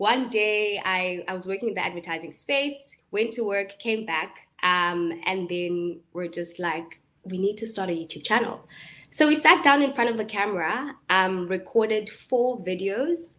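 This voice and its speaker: The voice has a South African accent and a bright, sharp tone. It moves at a fairly slow pace with lively intonation. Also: woman, medium pitch for a woman. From South Africa, Eastern Cape (Port Elizabeth). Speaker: YouTuber and entrepreneur. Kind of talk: webinar talk. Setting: live online webinar. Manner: hesitant, many fillers.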